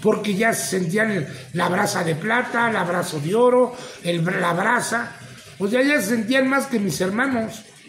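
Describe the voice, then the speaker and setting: A man's high-pitched voice with ordinary pitch variation at a fairly slow pace, with audible room echo and light background noise. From Mexico. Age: 50s. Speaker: retired professional wrestler. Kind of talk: interview testimony. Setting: at the guest's place. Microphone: phone near.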